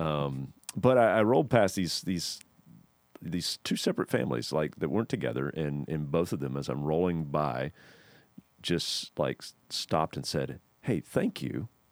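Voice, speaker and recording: On a very clean recording with a silent background and a dry, close sound with no echo, a man with a very deep, low pitch and vocal fry speaks at a moderate pace with lively intonation. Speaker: church podcast host. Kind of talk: casual chat. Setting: studio. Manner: hesitant, many fillers.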